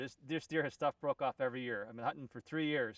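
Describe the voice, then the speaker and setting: Recorded dry and close with no echo, a man talks at a very fast pace in a fairly high pitch for a man. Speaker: deer hunter. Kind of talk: excited post-hunt recap to camera. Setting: outdoors. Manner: stuttering, babbling.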